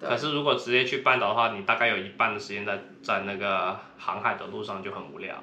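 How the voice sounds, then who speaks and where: With hardly any pauses, a man talks at a fairly quick pace, his lively intonation paired with big swings in loudness and audible room echo. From Guangdong, China. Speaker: podcast co-host, traveler. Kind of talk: casual chat.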